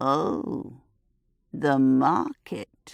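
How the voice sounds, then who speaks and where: A woman's put-on character voice, croaky and raspy, with a very deep, low pitch. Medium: read story. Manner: cryptic, teasing.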